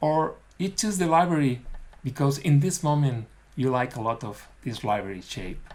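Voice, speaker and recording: With a non-native accent, a man speaks at a moderate pace in a fairly high pitch, his intonation lively. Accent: non-native English, self-described as bad. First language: not English. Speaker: dental technician. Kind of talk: webinar lecture. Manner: halting.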